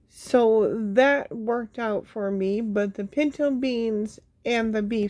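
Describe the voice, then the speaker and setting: A woman speaking at a very slow pace, her intonation fairly even, against a quiet background. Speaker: home canning vlogger. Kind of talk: casual vlog chat. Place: home room. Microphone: phone near.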